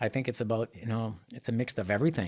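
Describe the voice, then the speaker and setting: A man speaks with a Quebec accent at medium pitch. His intonation stays fairly even. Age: 50s. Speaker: triathlete and artist. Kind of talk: casual interview. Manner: calmer, more composed than usual.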